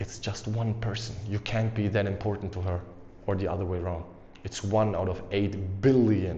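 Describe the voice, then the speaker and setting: An energetic man at a fairly low pitch, somewhat breathy, with a non-native accent, at a moderate pace and in audible room echo. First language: not English. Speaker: dating and confidence coach, YouTuber. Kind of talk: motivational talk to camera. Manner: casual, energetic.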